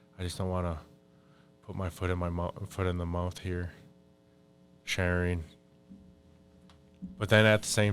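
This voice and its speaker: A man speaks in a very deep, low voice while music plays in the background. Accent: American. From Minnesota, Fond du Lac reservation. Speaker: Ojibwe spiritual advisor. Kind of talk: podcast interview. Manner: casual, conversational.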